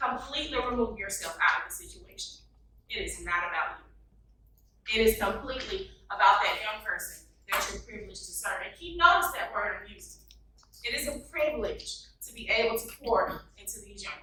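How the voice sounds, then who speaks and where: Audible room echo surrounds a woman who speaks at a fairly quick pace in an animated tone. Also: big swings in loudness. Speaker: youth consultant and workshop presenter. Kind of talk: conference workshop presentation. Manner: fast; animated, interactive with audience.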